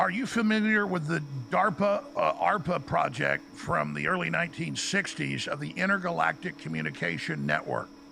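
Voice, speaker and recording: A man talks with hardly any pauses. Noticeable background noise is present. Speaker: live streamer. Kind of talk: casual chat with AI. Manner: fast; halting.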